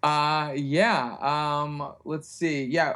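A man's fairly high voice with an American accent and fairly even intonation. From US, West Virginia (Morgantown). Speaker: comedy writer. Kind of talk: casual chat.

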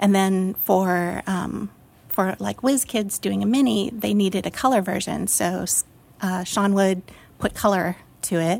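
At a fairly slow pace, a woman speaks at medium pitch with ordinary pitch variation, in a very clean recording with a silent background. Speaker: art director. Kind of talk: casual chat. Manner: hesitant, many fillers.

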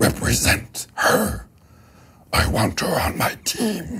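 A man uses a booming, put-on character voice. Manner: commanding, impatient, bossy.

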